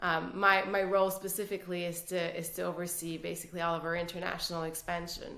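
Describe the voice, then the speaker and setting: A woman in a Quebec accent, fairly low in pitch, with monotone, flat intonation and audible room echo. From Quebec City, Canada. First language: French. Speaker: business executive. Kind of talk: casual interview.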